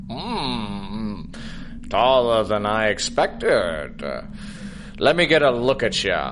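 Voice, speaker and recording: Using a put-on character voice, a man talks at a very slow pace with long, frequent pauses over loud background noise. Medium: audio drama. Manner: gruff, hesitant, grumbling.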